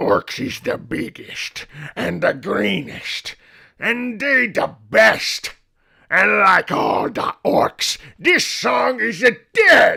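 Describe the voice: Using a put-on character voice, a man speaks raspy and at a very slow pace.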